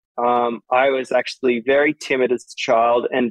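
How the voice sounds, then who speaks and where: With an Australian accent, this man talks at a medium pitch. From Australia, Sydney. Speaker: DJ and music producer. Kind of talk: casual interview chat.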